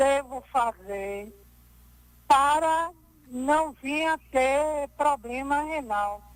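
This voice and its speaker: The pace is very slow. A woman carries it in a high pitch. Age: 70s. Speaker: caller. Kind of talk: caller question.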